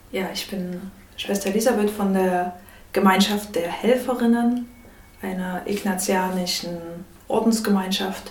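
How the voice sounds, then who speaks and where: Over noticeable background noise and audible room echo, a woman with a medium pitch talks at a fairly slow pace, with fairly even intonation and long, frequent pauses. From Saxony, Chemnitz. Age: 30s. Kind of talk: interview. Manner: halting.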